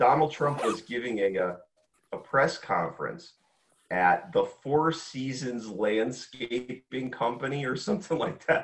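In an unremarkable speaking voice, a man of medium pitch talks at a fairly slow pace with lively intonation. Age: 40s. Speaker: military veteran. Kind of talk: casual chat.

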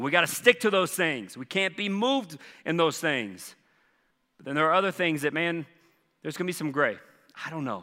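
In a Southern US accent, a man speaks with an animated, bright, sharp tone and lively intonation, his pitch fairly high and his pace fairly quick. He leaves long, frequent pauses in a very clean recording with a silent background. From US South, Charleston. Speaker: pastor. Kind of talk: sermon.

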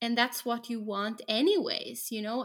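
Speaking with a Norwegian accent, a woman uses a fairly high pitch at a moderate pace. The recording is very clean, with a silent background. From Norway. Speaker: special education teacher. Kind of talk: casual chat.

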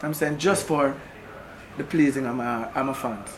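The speaker goes at a moderate pace with ordinary pitch variation. Room echo is audible and background noise is noticeable. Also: man. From Kingston, Jamaica. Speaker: reggae singer. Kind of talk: interview. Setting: record label office.

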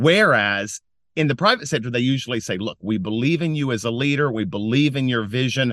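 A man with an American accent and an ordinary speaking voice, medium pitch, ordinary pitch variation, fairly quick pace, and a quiet background. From US South, western North Carolina mountains. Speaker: nonprofit founder and philanthropy advisor. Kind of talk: interview. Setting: recording from inside a closet at home.

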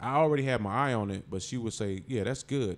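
This man talks at a fairly quick pace in an unremarkable speaking voice of medium pitch. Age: 40s. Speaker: comedian. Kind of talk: casual chat.

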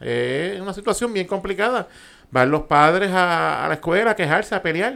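In a Puerto Rican accent, a man talks at a very fast pace. His pitch is high. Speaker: podcast co-host. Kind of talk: casual banter podcast.

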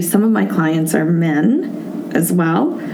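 Amid audible room echo and noticeable background noise, a woman with a fairly low pitch talks at a very slow pace with lively intonation. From Hawaii. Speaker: entrepreneur. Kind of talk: interview.

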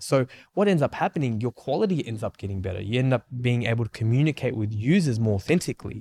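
A man with a medium-pitched, dark, mellow voice speaks very fast with lively intonation and hardly any pauses, sounding somewhat breathy. The recording is very clean, with a silent background and a dry, close sound with no echo. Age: 30s. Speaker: podcast co-host, marketing agency co-founder. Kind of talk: casual chat. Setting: studio. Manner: animated.

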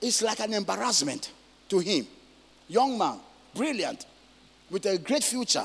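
A man at a moderate pace, with lively intonation.

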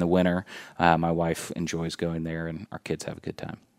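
A man with a very deep, low voice and a Midwestern American accent talks at a fairly quick pace in a very clean, dry, close recording with a silent background and no echo. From Indiana, Indianapolis (Beech Grove). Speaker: corporate employee and local resident. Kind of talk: casual interview. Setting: studio. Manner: hesitant, many fillers.

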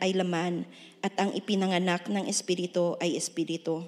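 A woman of medium pitch speaks at a moderate pace. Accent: Filipino. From Philippines. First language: Ilonggo. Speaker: church member reading scripture. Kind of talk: reading aloud. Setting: church.

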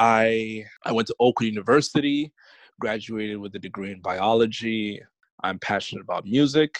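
Over a quiet background, a man with an American accent talks in an ordinary speaking voice at medium pitch and a moderate pace, with ordinary pitch variation and a dry, close sound with no echo. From New York (Bronx). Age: young. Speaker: podcast guest sharing family story. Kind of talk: casual interview.

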